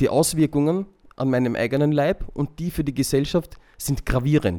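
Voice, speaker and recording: The man's voice has a fairly high pitch and a dark, mellow tone. His pitch varies in an ordinary way. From Vienna, Austria. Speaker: convert to Islam, community volunteer. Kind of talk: interview testimony.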